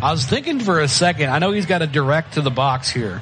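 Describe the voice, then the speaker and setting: A man with an American accent, very fast and lively in intonation, against noticeable background noise. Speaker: high school football play-by-play announcer. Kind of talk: live sports commentary. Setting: broadcast booth at stadium.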